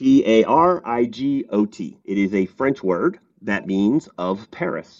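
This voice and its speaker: This man's pitch sits in the middle of his range. His delivery has lively intonation. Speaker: software startup founder. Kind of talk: interview. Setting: remote call.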